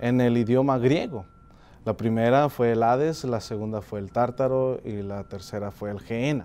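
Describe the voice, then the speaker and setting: A man is talking. His voice has a dark, mellow tone. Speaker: preacher. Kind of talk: sermon. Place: studio. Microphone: lapel.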